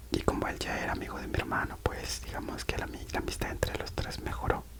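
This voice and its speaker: Noticeable background noise is present. Under it, a man whispers. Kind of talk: ASMR personal storytelling while coloring. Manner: whispered; soft-spoken, relaxing.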